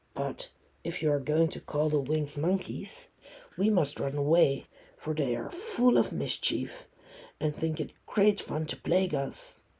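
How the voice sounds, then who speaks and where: A man uses a put-on character voice that is raspy and fairly high. He speaks at a moderate pace. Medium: read story.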